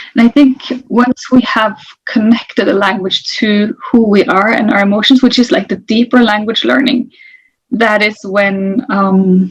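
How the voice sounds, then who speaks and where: Somewhat breathy and fairly slow, a woman talks with a Norwegian accent. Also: fairly high pitch for a woman, ordinary pitch variation. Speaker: interculturalist. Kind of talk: interview.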